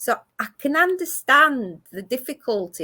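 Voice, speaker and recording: A woman's bright, sharp tone with a Greek accent, on a very clean recording with a silent background. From Greece (Athens), moved to Manchester at eleven. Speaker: community arts ambassador. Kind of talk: interview chat. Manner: halting, many fillers and restarts.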